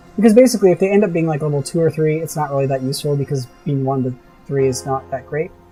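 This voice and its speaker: With music in the background, a man with a fairly high pitch talks at a very fast pace using lively intonation. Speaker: gaming let's-play host. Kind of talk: casual gameplay commentary. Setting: home recording, heater noise.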